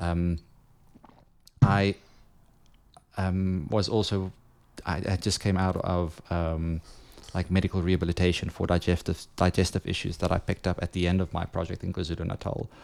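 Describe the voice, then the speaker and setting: A man with a very deep, low pitch and a South African accent, monotone and flat, at a moderate pace with long, frequent pauses. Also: very clean recording, silent background. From South Africa, Johannesburg. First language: Afrikaans. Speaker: photographer. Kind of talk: casual chat.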